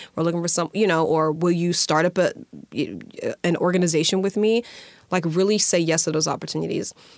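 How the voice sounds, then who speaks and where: A woman with an American accent speaks at a fairly quick pace in a fairly low pitch, her loudness staying very even. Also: fairly even intonation. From US South, Alabama. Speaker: nonprofit leader. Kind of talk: interview. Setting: studio.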